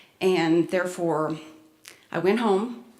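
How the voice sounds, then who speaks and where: A woman with a medium pitch is recorded with audible room echo. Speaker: spiritual workshop presenter. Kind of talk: presentation to an audience. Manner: halting, with many fillers.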